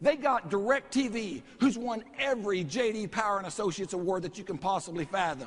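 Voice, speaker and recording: This man has a high-pitched voice, lively intonation and an animated tone, moving at a moderate pace. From Texas. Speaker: network marketing presenter. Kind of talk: sales pitch. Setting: stage with audience.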